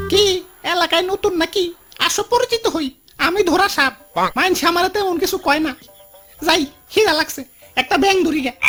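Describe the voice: A cartoonish character voice at an extremely high pitch speaks at a moderate pace. Faint music plays in the background.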